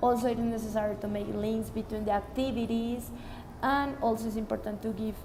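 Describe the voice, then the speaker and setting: A woman speaks in a fairly high voice with monotone, flat intonation. Room echo and background noise are both noticeable. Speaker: student teacher of English. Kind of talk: spoken report. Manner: loud.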